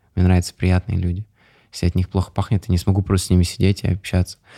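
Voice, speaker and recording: Very deep and low, a man's dark, mellow voice stays monotone and flat in a very clean recording with a silent background and a dry, close sound with no echo. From Russia, Chelyabinsk region (Ozyorsk). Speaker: entrepreneur. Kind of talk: interview. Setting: studio.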